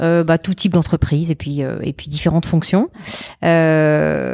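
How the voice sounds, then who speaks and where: The recording is dry and close, without echo. A woman's voice is heard. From France. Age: 40s. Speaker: entrepreneur. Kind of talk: interview. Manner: fast; halting, many repetitions.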